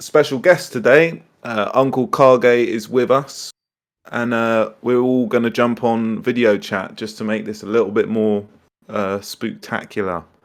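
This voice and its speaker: Over a quiet background, a man with a British accent speaks at a fairly slow pace, with a medium pitch and ordinary pitch variation. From UK. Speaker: online furry meet host. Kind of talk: casual chat. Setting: online voice chat.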